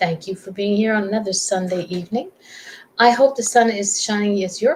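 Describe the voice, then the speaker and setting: Over noticeable background noise, a woman with a medium pitch speaks at a moderate pace with ordinary pitch variation. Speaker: talk show host. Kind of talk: casual interview talk.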